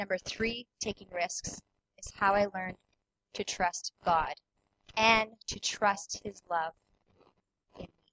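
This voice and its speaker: In a Canadian prairie accent, a woman of medium pitch speaks at a very slow pace with long, frequent pauses, fairly even intonation and big swings in loudness. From Manitoba, Canada. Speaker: personal trainer. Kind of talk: testimony. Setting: church.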